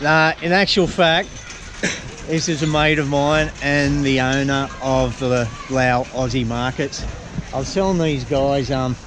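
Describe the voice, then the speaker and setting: Against noticeable background noise and audible room echo, a man with an Australian accent speaks at a medium pitch with fairly even intonation. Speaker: travel vlogger. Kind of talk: casual vlog chat.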